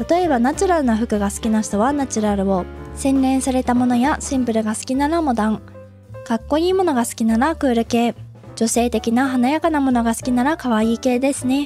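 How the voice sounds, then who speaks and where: Over music in the background, a woman speaks fairly quickly at a high pitch with ordinary pitch variation. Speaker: game interior design tutorial creator. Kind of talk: tutorial narration. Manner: polite, explanatory.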